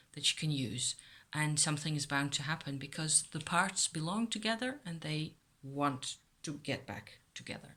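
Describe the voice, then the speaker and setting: A woman speaks at a fairly slow pace with a Dutch accent and a very deep, low pitch. Her intonation is lively and her tone bright and sharp. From Netherlands. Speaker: YouTuber on witchcraft. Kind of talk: casual vlog talk.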